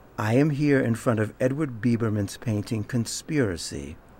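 A man speaks at a fairly slow pace with a somewhat breathy voice. The sound is dry with no echo, and there is light background noise. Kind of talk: introduction to a performance. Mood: calm, warm, measured. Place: hall.

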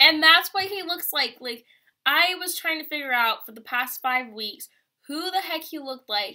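Against a quiet background, a woman with a high pitch speaks at a moderate pace in a raised, projected voice, her bright, sharp, animated tone carried by lively intonation. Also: big swings in loudness. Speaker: vlogger and college student; vlogger. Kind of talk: casual vlog. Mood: chatty, ranting about college. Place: home room. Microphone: webcam.

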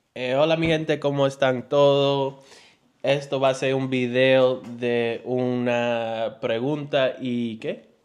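A man at a very slow pace in a monotone, flat intonation. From New York. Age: 20s. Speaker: family vlogger. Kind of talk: casual chat. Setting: livestream at home. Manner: halting. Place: home room. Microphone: handheld.

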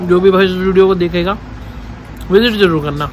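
This man's voice is high-pitched for a man, and he talks at a fairly slow pace. The sound is dry with no echo, though background noise is noticeable. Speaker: food vlogger. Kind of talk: casual vlog chat. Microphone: phone near.

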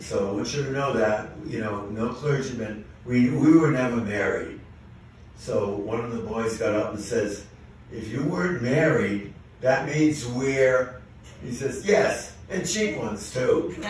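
A man speaks at a fairly slow pace and a medium pitch, with strong room echo and light background noise. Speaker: amateur comedian. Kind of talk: stand-up joke telling to a live audience. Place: stage.

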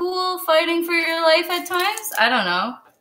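A woman's raised, projected voice with a Canadian accent, extremely high in pitch, bright and sharp in tone. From Kitchener, Ontario; Ontario. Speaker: chef; guest. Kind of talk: casual chat and cooking demonstration. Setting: video call from her kitchen. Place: kitchen.

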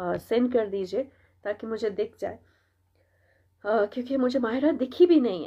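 Her voice is high for a woman, with lively intonation. She speaks at a fairly slow pace. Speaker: radio jockey. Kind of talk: live stream chat. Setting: live stream. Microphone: unstable wifi connection.

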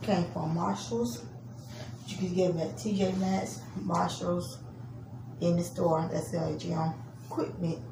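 Clear background noise sits behind a woman with a fairly low pitch and vocal fry. She speaks at a fairly slow pace with ordinary pitch variation.

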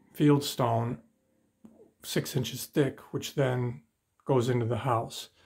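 A man at a moderate pace with fairly even intonation and faint music in the background. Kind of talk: casual tour commentary. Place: home room. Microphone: phone near.

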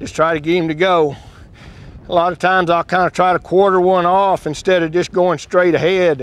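In a Texan accent, a man with a high pitch talks at a fairly quick pace with fairly even intonation, and the sound is dry with no echo. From West Texas. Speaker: ranch horse trainer; cowboy. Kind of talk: instructional talk while working a horse. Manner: calm, casual.

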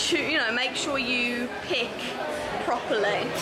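Loud background noise sits behind a woman speaking at a fairly slow pace. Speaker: vlogger. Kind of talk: casual vlog chat. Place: shop. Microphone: phone near.

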